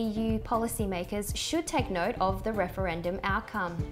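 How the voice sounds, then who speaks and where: Music plays in the background. A woman speaks at a medium pitch and a moderate pace. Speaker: news presenter / journalist. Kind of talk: news broadcast reading. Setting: studio.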